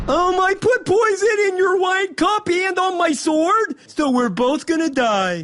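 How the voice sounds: An extremely high-pitched cartoonish character voice moves at a fairly slow pace.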